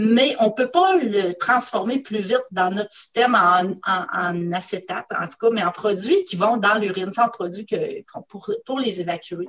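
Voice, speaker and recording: A woman with a Quebec accent speaks fairly slowly at medium pitch, with hardly any pauses. Her pitch varies in an ordinary way. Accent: Québécois French. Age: 50s. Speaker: scientist. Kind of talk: casual chat. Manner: halting, many hesitations.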